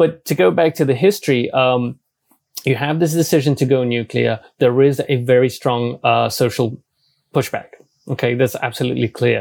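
A man of medium pitch talks with a British accent. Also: ordinary pitch variation, moderate pace. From UK. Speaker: energy analyst and journalist. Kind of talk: interview.

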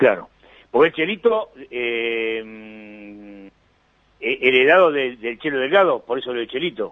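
In an Argentine accent, a man speaks at a fairly slow pace. His pitch sits in the medium range and his intonation is lively. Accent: Rioplatense Argentine Spanish. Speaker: sports radio host. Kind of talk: radio interview.

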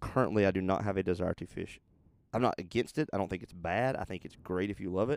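This man's voice sits very deep and low. He delivers his words very fast. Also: ordinary pitch variation. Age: 30s. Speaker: podcast co-host. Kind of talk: casual chat.

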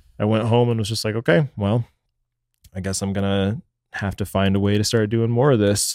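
A man talks at a fairly quick pace in an ordinary speaking voice, fairly low in pitch, with fairly even intonation. The recording is very clean with a silent background, and the sound is dry and close with no echo. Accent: American. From Texas (Dallas). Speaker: videographer and photographer. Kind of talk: casual chat.

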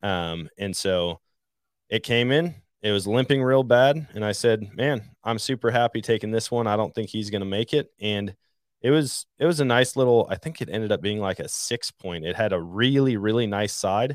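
Recorded very cleanly against a silent background, the sound dry and close with no echo, a man with a plain, everyday voice and an American accent talks at medium pitch and a moderate pace with ordinary pitch variation. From Wisconsin, Trempealeau County. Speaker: hunting podcaster. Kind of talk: casual chat.

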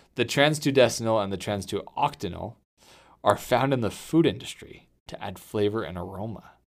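In a very clean recording with a silent background, a man speaks at a moderate pace in an ordinary speaking voice, medium in pitch, with lively intonation. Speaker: podcast host, pest control. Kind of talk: casual chat, podcast. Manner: casual, joking.

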